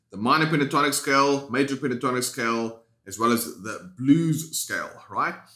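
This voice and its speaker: A man with a South African accent and a fairly high, bright, sharp tone, at a moderate pace. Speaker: guitar teacher. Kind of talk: tutorial. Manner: casual, conversational.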